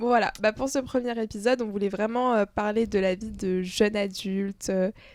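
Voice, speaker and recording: A woman's fairly high pitch in an ordinary speaking voice, at a moderate pace with fairly even intonation. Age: 20s. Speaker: student podcast co-host. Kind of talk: casual chat. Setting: home recording.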